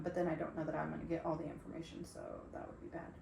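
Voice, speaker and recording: A woman's fairly low voice with audible room echo and noticeable background noise. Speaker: podcast co-host. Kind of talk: reading a script aloud; casual chat.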